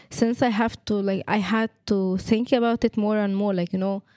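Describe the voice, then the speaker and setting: A woman with an Arabic accent and a dark, mellow tone speaks at a moderate pace with fairly even intonation, in a dry, close sound with no echo. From Egypt. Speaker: education student. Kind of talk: testimony.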